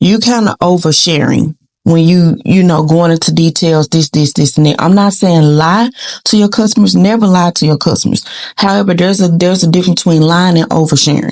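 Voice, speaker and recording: This woman has a fairly low pitch and ordinary pitch variation. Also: fairly quick pace, very even loudness. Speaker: YouTube commentary vlogger. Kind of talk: casual commentary vlog. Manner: animated.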